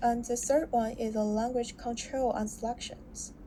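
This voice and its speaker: Speaking with a Chinese accent, a woman with a fairly high voice moves at a fairly slow pace with fairly even intonation. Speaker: student. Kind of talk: class presentation. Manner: halting, with self-corrections.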